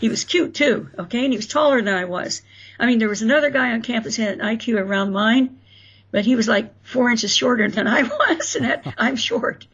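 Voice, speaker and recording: A woman with an American accent, fairly quick pace and ordinary pitch variation, with noticeable background noise. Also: fairly high pitch for a woman. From Florida and Indiana, US. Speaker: author. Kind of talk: interview storytelling.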